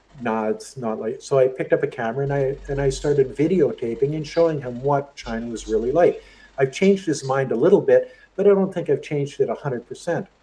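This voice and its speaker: The speaker talks with a Canadian accent. The pace is very fast. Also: man. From Canada. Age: 60s. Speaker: YouTuber. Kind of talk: interview. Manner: halting, many repeated words.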